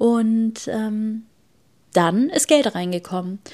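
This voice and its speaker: A fairly high-pitched woman with ordinary pitch variation, in a very clean recording with a silent background. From Germany. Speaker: podcast host. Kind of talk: solo podcast monologue.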